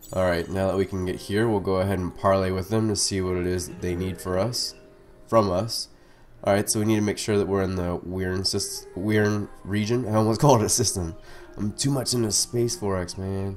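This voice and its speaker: Music plays in the background as a man speaks at a fairly quick pace. His pitch is fairly low and his intonation fairly even. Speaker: strategy game let's player. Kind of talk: casual gameplay commentary tutorial.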